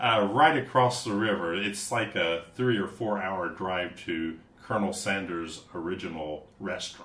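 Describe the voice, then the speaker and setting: Fairly low-pitched man with an American accent, ordinary pitch variation and hardly any pauses, over noticeable background noise. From US Midwest, southern Ohio. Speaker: English teacher and musician. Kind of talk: casual chat. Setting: studio.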